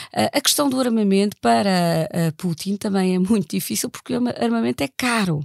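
A woman speaks at a moderate pace in a dark, mellow tone, recorded very cleanly against a silent background with a dry, close sound and no echo. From Germany. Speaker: political science professor. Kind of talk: analytical interview.

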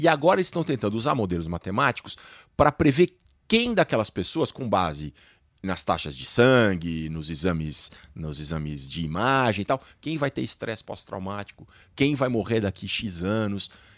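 Recorded very cleanly against a silent background, with a dry, close sound and no echo, a man of fairly low pitch speaks at a moderate pace with very wide pitch swings. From Brazil. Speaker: science journalist. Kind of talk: panel discussion.

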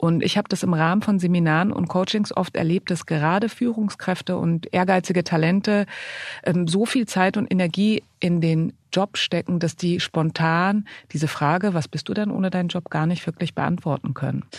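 A woman's unremarkable speaking voice at a moderate pace, dry and close with no echo, over a quiet background. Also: fairly low pitch for a woman, fairly even intonation, very even loudness. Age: 40s. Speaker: podcast co-host, magazine editor-in-chief. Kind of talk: casual chat.

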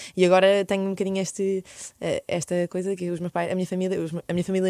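Recorded very cleanly over a silent background, a woman talks very fast at a medium pitch with a dark, mellow tone. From Belgium (Brussels), Portuguese parents. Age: 20s. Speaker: medical doctor and health podcaster. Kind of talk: casual interview chat.

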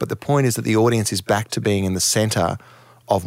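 An Australian accent from a man with a fairly low voice. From Townsville, Queensland, Australia. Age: 50s. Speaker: music manager. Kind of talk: interview.

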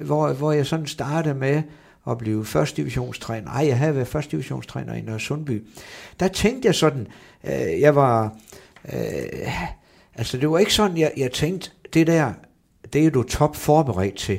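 A man's fairly high voice with lively intonation, fairly slow pace and long, frequent pauses, on a very clean recording with a silent background. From northern Jutland, Brønderslev. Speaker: football coach. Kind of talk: interview. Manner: halting, many fillers and repetitions.

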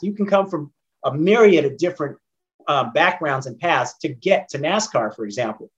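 A man with an American accent speaks at a moderate pace and a fairly high pitch. It is a plain, everyday voice. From Northern California (San Jose, Oakland). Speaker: former racing driver and engineer. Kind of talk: interview.

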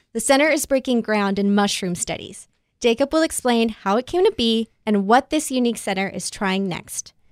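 The recording is very clean, with a silent background and a dry, close sound with no echo. A woman with a plain, everyday voice speaks at a moderate pace and a fairly high pitch. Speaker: podcast host, managing editor. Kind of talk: casual podcast chat.

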